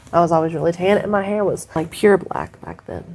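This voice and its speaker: Very fast and with fairly even intonation, a woman speaks in a fairly low voice. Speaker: podcast co-host. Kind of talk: casual chat.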